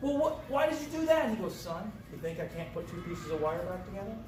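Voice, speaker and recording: Noticeable background noise and audible room echo surround this man. He talks at a very fast pace with ordinary pitch variation. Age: 60s. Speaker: garage livestream host, car builder. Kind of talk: casual chat, storytelling. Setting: garage workshop livestream. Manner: animated, repetitive false starts.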